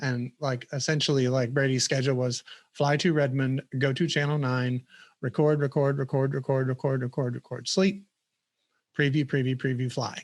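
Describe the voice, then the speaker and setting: A man with a Southern US accent talks at a moderate pace and medium pitch, his intonation fairly even, the sound dry and close with no echo against a quiet background. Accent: noticeable Southern US. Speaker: software product manager. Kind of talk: casual interview chat.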